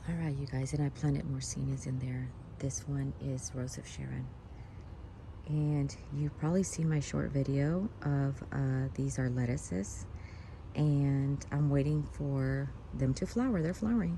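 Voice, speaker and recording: A woman whispers at a fairly slow pace. Room echo is audible. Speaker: gardening vlogger. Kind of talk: casual garden tour narration. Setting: outdoors in backyard garden. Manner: whispering.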